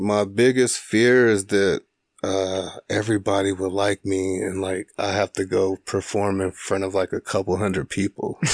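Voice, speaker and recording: In a Midwestern US accent, a man speaks at a moderate pace with fairly low pitch and monotone, flat intonation, in a dry, close sound with no echo against a quiet background. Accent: US Midwest. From Springfield, Illinois. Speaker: stand-up comedian. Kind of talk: casual chat. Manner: monotone, chill.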